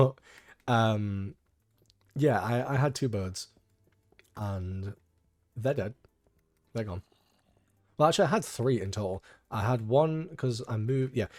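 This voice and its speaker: A man with a British accent and a medium pitch, fairly slow, with long, frequent pauses and ordinary pitch variation, in a very clean recording against a silent background. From UK. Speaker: gaming YouTuber. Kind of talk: casual gameplay commentary.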